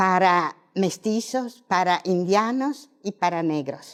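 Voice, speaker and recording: Here is a woman's voice at medium pitch. The background is silent and the recording very clean. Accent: non-native. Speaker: professor. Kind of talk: lecture. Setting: auditorium. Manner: halting.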